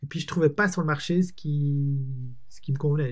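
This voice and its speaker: A man's somewhat breathy voice, dark and mellow in tone and fairly high in pitch, runs at a fairly quick pace with fairly even intonation. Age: 40s. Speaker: entrepreneur. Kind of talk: casual chat.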